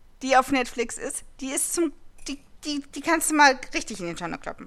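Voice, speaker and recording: A woman's high-pitched voice, fairly slow and lively in intonation, broken by long, frequent pauses. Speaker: podcast host. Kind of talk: casual chat.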